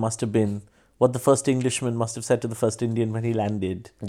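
Dark and mellow in tone, a man's voice rushes along at a very fast pace with fairly even intonation. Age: 40s. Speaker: stand-up comedian. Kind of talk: casual interview chat. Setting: studio.

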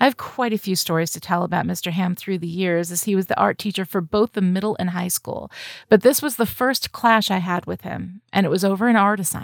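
An American-accented woman with an unremarkable speaking voice talks fairly quickly at a medium pitch with ordinary pitch variation and hardly any pauses, on a very clean recording with a silent background and a dry, close sound with no echo. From upstate New York. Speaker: writer. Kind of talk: reading aloud.

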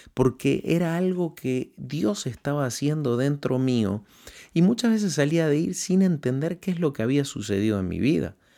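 On a very clean recording with a silent background, a man speaks at a fairly slow pace in a dark, mellow tone. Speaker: radio host and preacher.

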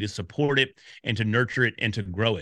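This man has a normal speaking voice and an American accent, speaking at a medium pitch and moderate pace with ordinary pitch variation. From Texas, Dallas. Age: 50s. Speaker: podcast community expert. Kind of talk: interview. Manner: casual.

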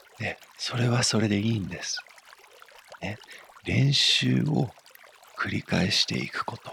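Against noticeable background noise, a man speaks with a warm, calm tone at a fairly slow pace. His pitch swings very widely, and he leaves long, frequent pauses. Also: medium pitch for a man. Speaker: meditation teacher. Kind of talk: guided meditation. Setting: studio. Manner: soft, warm, encouraging; slow, calm and gentle, with pauses.

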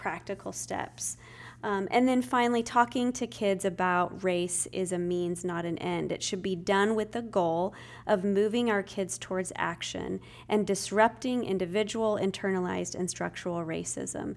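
A woman with an American accent uses an ordinary speaking voice at a medium pitch, with ordinary pitch variation and a moderate pace. The recording is very clean, with a silent background. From US Northwest, Spokane, Washington. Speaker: nonprofit executive director. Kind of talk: podcast interview.

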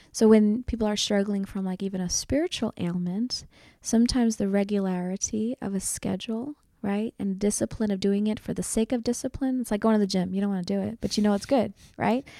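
A woman talks at a fairly quick pace in a medium-pitched, dark, mellow tone with a Philadelphia accent. Her intonation is fairly even, and the recording is very clean over a silent background. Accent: Philadelphia American. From US, Northeast Philadelphia. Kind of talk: interview testimony. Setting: convent.

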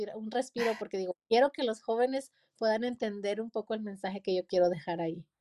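A plain, everyday voice at a fairly quick pace with fairly even intonation, in a dry, close sound with no echo on a very clean recording with a silent background. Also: woman. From Mexico, Durango. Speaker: pastor and author. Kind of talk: interview.

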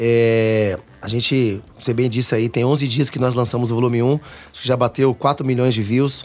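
At a moderate pace and medium pitch, a man with a plain, everyday voice speaks with fairly even intonation. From Cuiabá, Mato Grosso, Brazil. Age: 30s. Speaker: pagode band vocalist. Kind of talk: radio interview. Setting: radio studio.

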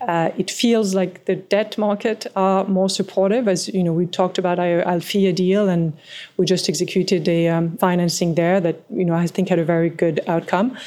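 With a French accent, a woman at a medium pitch talks at a moderate pace with fairly even intonation. Her loudness is very even, and she leaves hardly any pauses. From France, small mountain village. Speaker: private equity partner. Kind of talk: interview.

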